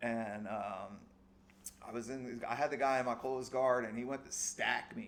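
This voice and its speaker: Speaking at a moderate pace in a New Jersey accent, a man with a medium pitch has an animated tone. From US Northeast, South Jersey. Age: 40s. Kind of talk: casual podcast chat.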